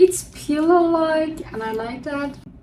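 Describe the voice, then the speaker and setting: A woman with a non-native accent speaks at a fairly slow pace, her intonation lively. There is audible room echo and noticeable background noise. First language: not English. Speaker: book vlogger. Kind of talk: casual chat.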